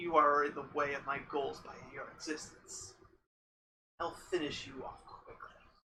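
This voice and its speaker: A put-on character voice, raspy and growling, sits at a low-to-middle pitch and moves at a moderate pace. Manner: growling, menacing.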